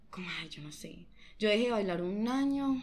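Lively intonation with audible room echo. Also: woman. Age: young. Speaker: dancer. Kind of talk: casual chat.

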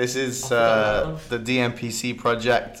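A man at a medium pitch over noticeable background noise. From northwest England. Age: 20s. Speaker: director of a hip hop dance company, podcast host. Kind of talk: casual chat.

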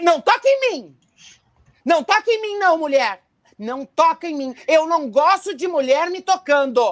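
A put-on character voice comes through shrill. It moves at a fairly slow pace. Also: woman, extremely high pitch for a woman. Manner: shrieking refusal.

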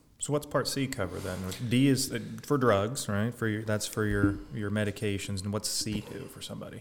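A man with a normal speaking voice at a fairly low pitch, fairly quick with hardly any pauses, ordinary pitch variation and big swings in loudness. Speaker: podcast co-host. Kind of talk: casual podcast discussion.

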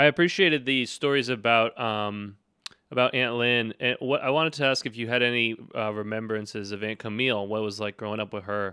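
At a fairly quick pace, a man talks in an unremarkable speaking voice of medium pitch with ordinary pitch variation. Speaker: interviewer, nephew. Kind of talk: casual interview.

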